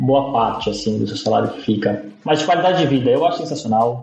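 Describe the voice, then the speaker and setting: A man speaks at a fairly quick pace in a medium pitch with ordinary pitch variation. Noticeable background noise runs behind him. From São Paulo city, East Zone. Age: 30s. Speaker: front-end developer. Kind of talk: interview. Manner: halting, many repeated words.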